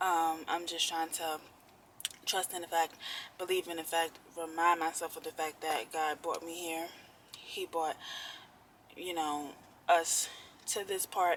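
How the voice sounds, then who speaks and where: The speech moves at a fairly slow pace, broken by long, frequent pauses. Its intonation stays monotone and flat. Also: woman, fairly low pitch for a woman. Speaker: vlogger. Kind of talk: personal vlog.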